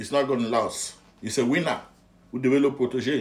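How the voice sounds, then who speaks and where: This man talks at a fairly slow pace. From Anglophone Cameroon. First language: English (speaking French). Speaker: political commentator. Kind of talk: political rant. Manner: animated, emphatic; halting, repeats words.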